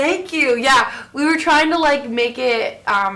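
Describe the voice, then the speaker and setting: A woman with an American accent and ordinary pitch variation, over noticeable background noise. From Florida; Orlando area. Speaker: singer. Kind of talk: interview answer. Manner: casual, hesitant.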